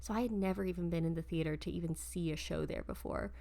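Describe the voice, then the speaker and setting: A soft-spoken woman talks at a very fast pace. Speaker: podcast host and stage performer. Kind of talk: casual chat.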